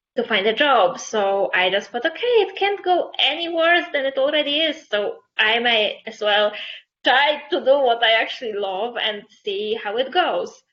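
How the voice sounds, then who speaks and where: Speaking at a fairly slow pace with a Polish accent, a woman uses a high pitch with very wide pitch swings. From Poland. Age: 20s. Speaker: fashion photographer. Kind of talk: interview.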